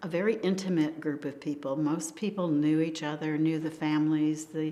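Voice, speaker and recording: This woman has a very deep, low voice and an American accent. Her intonation stays fairly even. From US Northeast, Hudson Valley New York. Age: 80s+. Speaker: local resident, oral history interviewee. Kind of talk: oral history interview. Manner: hesitant, with frequent ums.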